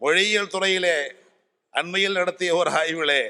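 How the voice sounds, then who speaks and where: A man's bright, sharp tone in a monotone, flat delivery. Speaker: Tamil scholar and orator. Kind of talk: convention speech. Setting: stage with audience. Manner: formal.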